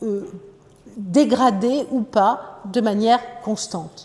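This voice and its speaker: Noticeable background noise behind a woman's fairly high-pitched voice. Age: 60s. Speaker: psychoanalyst. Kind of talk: lecture. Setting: conference hall with audience.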